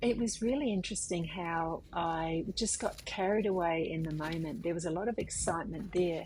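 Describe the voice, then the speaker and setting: A woman with an Australian accent speaks in a somewhat breathy voice with hardly any pauses. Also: fairly low pitch for a woman, ordinary pitch variation, moderate pace. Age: 50s. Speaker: artist. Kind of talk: casual talk to camera.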